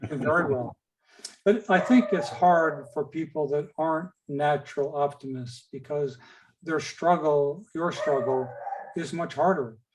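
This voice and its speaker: This man's voice sits fairly high. He talks at a fairly slow pace with ordinary pitch variation. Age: 60s. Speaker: patient speaker. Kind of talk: webinar Q&A. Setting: video call.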